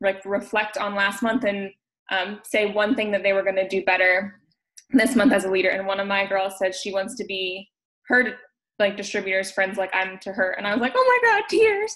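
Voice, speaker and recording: A woman's medium-pitched voice at a moderate pace. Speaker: network marketing team leader. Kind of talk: casual chat. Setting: video call. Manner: loud; animated.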